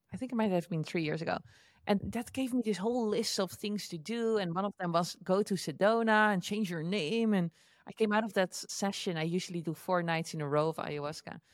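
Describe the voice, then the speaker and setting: With a Dutch accent, a woman talks at a fairly quick pace with a medium pitch and ordinary pitch variation, in a dry, close sound with no echo. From Netherlands. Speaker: entrepreneur and online educator. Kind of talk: interview.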